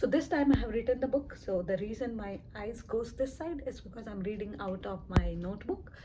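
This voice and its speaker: Noticeable background noise sits behind a woman speaking fairly quickly. Her pitch is fairly high, and her intonation is lively. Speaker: book reviewer. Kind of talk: reading from notes, book review. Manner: stammers when nervous; halting, with repeats and fillers.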